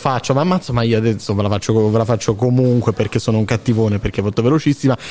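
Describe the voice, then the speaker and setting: A man with an animated tone and ordinary pitch variation talks at a very fast pace. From Basilicata. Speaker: student radio host. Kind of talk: live commentary. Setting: theatre ticket office, live broadcast.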